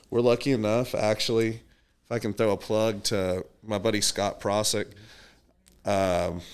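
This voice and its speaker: A man with a Texan accent and fairly low pitch speaks in a monotone, flat way in a very clean recording with a silent background. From Texas. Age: 30s. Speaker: strength and conditioning coach. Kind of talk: casual chat.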